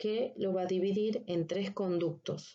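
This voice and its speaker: A woman at medium pitch talks at a very slow pace. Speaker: anatomy lecturer. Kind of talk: recorded lecture. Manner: deliberately slow; halting, many fillers.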